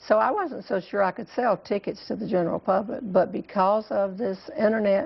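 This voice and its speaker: In a Southern US accent, a woman talks at a moderate pace. She hardly pauses at all. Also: medium pitch for a woman, ordinary pitch variation. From US South, North Carolina. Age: 60s. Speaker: humorist. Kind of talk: TV interview.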